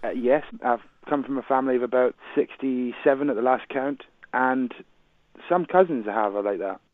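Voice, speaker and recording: His speed is moderate. This man's pitch moves up and down by a normal amount. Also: medium pitch for a man. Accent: Glaswegian. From Scotland, Glasgow. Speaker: radio drama actor. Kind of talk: radio interview.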